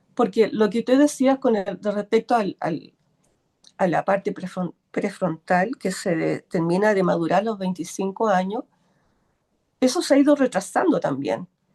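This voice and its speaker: A woman's medium-pitched voice with lively intonation at a fairly slow pace, dry and close with no echo, over background music. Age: 60s. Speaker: workshop participant. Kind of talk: casual chat. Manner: halting.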